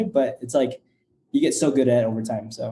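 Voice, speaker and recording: Very fast male speech at medium pitch with a dark, mellow tone. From Nebraska, US, Mexican family. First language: Spanish. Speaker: startup founder and CEO. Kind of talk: podcast interview. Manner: hesitant, many fillers.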